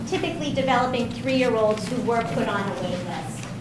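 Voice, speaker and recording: A woman speaks at a moderate pace with a fairly high pitch and ordinary pitch variation. Noticeable background noise and audible room echo are present. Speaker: special education director. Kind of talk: meeting presentation. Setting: school board meeting.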